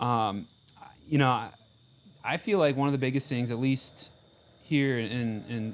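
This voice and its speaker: Pausing long and often, a man with an Ohio accent speaks at a fairly slow pace with ordinary pitch variation. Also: medium pitch for a man. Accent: Midwestern Ohio. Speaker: marching band member. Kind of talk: casual chat.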